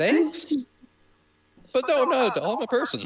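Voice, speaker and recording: A man puts on a character voice with an extremely high pitch, speaking at a moderate pace. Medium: actual play.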